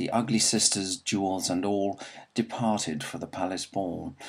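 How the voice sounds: A natural reading voice holds its intonation fairly even.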